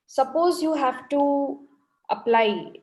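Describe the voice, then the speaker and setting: With a Telugu accent, a woman speaks using ordinary pitch variation. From India (Bangalore). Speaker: ophthalmic plastic surgeon presenting. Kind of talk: lecture.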